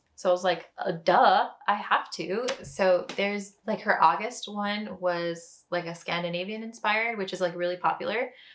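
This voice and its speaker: A woman speaks at medium pitch and a moderate pace, with fairly even intonation and hardly any pauses. It is a plain, everyday voice. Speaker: knitting podcaster. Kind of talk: casual chat. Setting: home kitchen.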